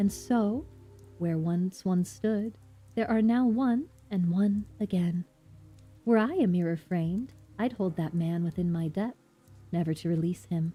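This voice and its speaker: A female-sounding, put-on character voice comes across as breathy. It moves at a moderate pace over faint music in the background. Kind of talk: theatrical, poetic. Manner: airy, wistful.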